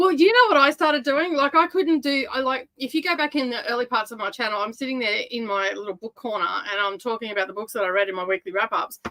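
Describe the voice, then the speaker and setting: With a very wide range of pitch swings, a woman in an Australian accent talks at a very fast pace in a high pitch with hardly any pauses. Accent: Australian, broad. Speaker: booktuber. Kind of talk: casual chat.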